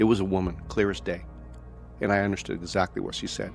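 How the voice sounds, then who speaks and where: Music plays in the background as a man speaks at a very fast pace, fairly low in pitch, with lively intonation. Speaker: paranormal story narrator. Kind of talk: first-person retelling of another man's story.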